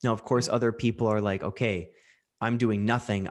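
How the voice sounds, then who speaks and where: With a Canadian accent, a man talks in an unremarkable speaking voice at a medium pitch with fairly even intonation, against a quiet background. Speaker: podcast host and mental health coach. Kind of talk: casual chat, podcast conversation.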